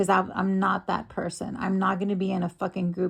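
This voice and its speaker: A woman speaks at medium pitch in a monotone, flat intonation with vocal fry. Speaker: streamer. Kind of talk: heated argument. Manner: agitated; halting.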